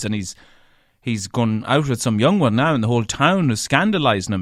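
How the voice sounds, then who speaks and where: A man with a strong Irish accent talks at a fairly quick pace and medium pitch, his intonation lively. The recording is very clean, with a silent background. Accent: thick Irish. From Ireland, County Leitrim. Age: 30s. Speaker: radio broadcaster and podcaster. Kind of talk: solo podcast monologue. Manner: chatty.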